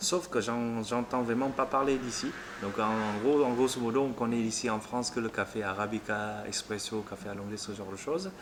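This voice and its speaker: A man speaks at a moderate pace and a medium pitch. His pitch varies in an ordinary way, and there is noticeable background noise. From Vietnam. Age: 30s. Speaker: café owner. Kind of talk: interview. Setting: in a café. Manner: hesitant.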